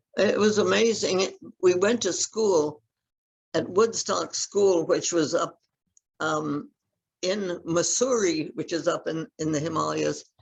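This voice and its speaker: The voice has vocal fry and moves at a very slow pace. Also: woman. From India. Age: 80s+. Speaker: physician. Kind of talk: interview.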